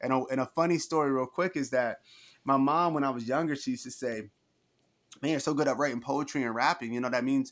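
Fairly even intonation runs at a very fast pace in a very clean recording with a silent background. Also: man. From New Jersey. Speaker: author and entrepreneur, former teacher. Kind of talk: interview.

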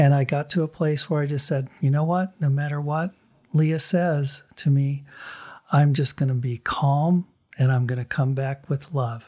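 A man speaks at a moderate pace in a fairly high voice with a dark, mellow tone, a little breathiness and fairly even intonation, on a very clean recording with a silent background. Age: 60s. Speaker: artist and gallery owner. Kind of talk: casual chat.

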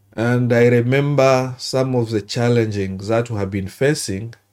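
A man at a medium pitch with a dark, mellow tone, fairly even intonation and a very slow pace, on a very clean recording with a silent background. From DR Congo, South Kivu. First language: not English. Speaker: doctor. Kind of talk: interview storytelling. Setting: studio. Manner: halting.

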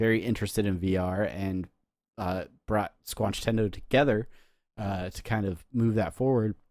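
In a very clean recording with a silent background, a man with a normal speaking voice talks at a moderate pace, his fairly low pitch held to fairly even intonation. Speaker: podcast host. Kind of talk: casual banter, comedic chat.

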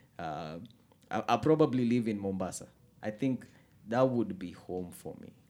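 Speaking at a moderate pace, a man with a fairly low pitch and a dark, mellow tone uses lively intonation, big swings in loudness and long, frequent pauses. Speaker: podcast host. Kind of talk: casual chat. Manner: animated.

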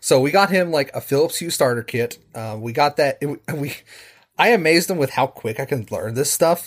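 A somewhat breathy man with lively intonation at a fairly quick pace, on a very clean recording with a silent background. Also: fairly high pitch for a man. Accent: American. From West Virginia, Charleston. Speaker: programming teacher and home automation hobbyist. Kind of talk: casual chat.

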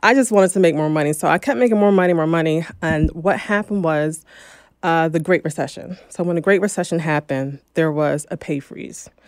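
A normal speaking voice from a woman with an American accent, fairly low pitch, ordinary pitch variation, and a fairly quick pace, on a very clean recording with a silent background. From New Jersey. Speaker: real estate investor. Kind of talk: interview.

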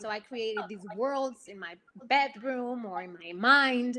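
A woman with a Spanish accent talks very slowly in a high pitch, her intonation lively. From Puerto Rico. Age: young. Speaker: actress. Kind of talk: casual interview chat.

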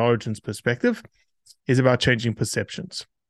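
A man with an ordinary speaking voice talks at a medium pitch with fairly even intonation, the sound dry and close with no echo. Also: quiet background. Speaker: conservation nonprofit founder. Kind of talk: casual interview conversation.

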